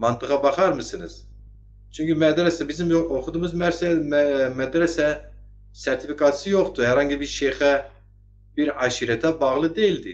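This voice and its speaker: Keeping a moderate pace, a man talks at a fairly high pitch. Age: 50s. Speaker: online talk show host. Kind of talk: political commentary livestream. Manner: animated.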